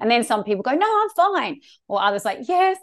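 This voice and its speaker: A woman with an Australian accent talks at a fairly quick pace with lively intonation. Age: 40s. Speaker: sex therapist. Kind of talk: interview.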